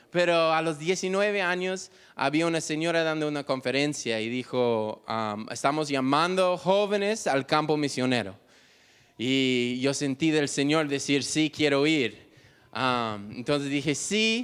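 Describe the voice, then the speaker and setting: Speaking at a fairly slow pace with lively intonation, a man with a fairly high pitch and an English accent is heard in a very clean recording against a silent background. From United States. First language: English (speaking Spanish). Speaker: missionary. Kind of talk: testimony. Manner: halting.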